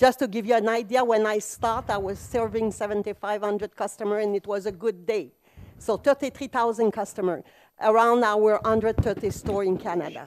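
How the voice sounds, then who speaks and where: A woman with a non-native accent and a fairly high pitch at a fairly quick pace, on a very clean recording with a silent background. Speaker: business founder, conference speaker. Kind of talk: conference talk. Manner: animated.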